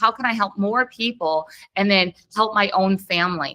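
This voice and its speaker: A woman speaks at medium pitch with a bright, sharp tone and fairly even intonation. The sound is dry and close, with no echo. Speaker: special education coach and podcast host. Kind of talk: online workshop presentation. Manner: fast.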